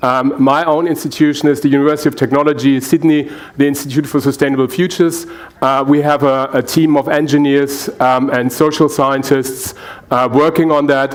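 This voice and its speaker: A fairly quick, flat, monotone delivery in a German accent, very even in loudness, over noticeable background noise. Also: man, fairly high pitch for a man. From Germany. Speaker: energy researcher and engineer. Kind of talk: panel presentation. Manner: halting, many fillers.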